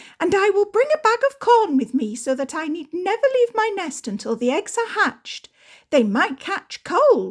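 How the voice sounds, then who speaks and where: A woman does a put-on character voice, squeaky and extremely high. Her pitch swings very widely at a moderate pace. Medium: read story.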